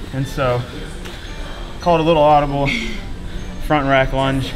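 A man talks while music plays clearly behind him. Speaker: athlete vlogger. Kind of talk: casual vlog chat. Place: gym.

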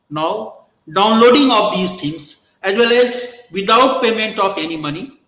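Audible room echo surrounds a man with an Indian accent whose raised, projected voice sits high in pitch, moving at a fairly slow pace with lively intonation. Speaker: law professor. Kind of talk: lecture. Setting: video call. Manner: halting. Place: office. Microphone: webcam.

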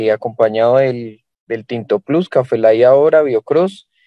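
A man talks at a fairly slow pace with ordinary pitch variation. The sound is dry with no echo, over a quiet background. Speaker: distributor. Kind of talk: testimony. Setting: video call. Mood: grateful, earnest. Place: car. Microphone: video call.

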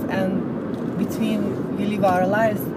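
Loud background noise surrounds a woman whose voice sounds dry, with no echo. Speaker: vlogger. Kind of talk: casual vlog chat. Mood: calm, motivational. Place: car. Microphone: phone near.

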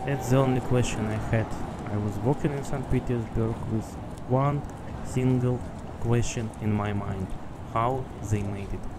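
Loud background noise behind a voice with a Russian accent. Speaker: video blogger, traveler. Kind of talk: casual monologue, travel vlog. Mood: curious, speculative. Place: street. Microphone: phone near.

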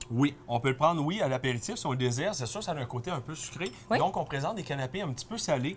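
Here a man talks at a very fast pace with lively intonation and fairly high pitch. Light background noise is present. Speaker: wine columnist; guest. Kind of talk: casual chat. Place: shop. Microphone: lapel.

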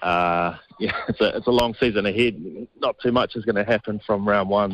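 Delivered at a moderate pace, the flat, monotone voice sits in a dry space with no echo. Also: man. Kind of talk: interview answer. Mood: relaxed, laughing.

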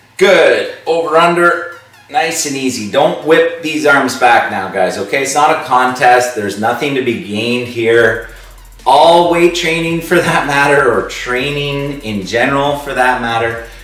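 In a room with audible echo, a man speaks at a fairly slow pace with ordinary pitch variation. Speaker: school fitness teacher. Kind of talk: workout instruction with advice. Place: home room. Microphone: camera far.

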